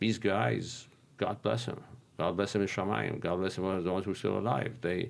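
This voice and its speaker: A man's very deep, low voice in a Persian accent, with vocal fry, lively intonation, very even loudness and a moderate pace. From Iran. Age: 60s. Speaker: real estate investor. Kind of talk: casual interview. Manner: halting, many fillers and repeats.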